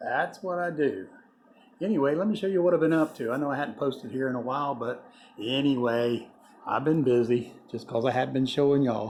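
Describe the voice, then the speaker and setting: A man with a Southern US accent, fairly high-pitched, with lively intonation and a fairly quick pace. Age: 60s. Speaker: small-engine mechanic and fishing guide. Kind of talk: casual video blog. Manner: rambling, relaxed.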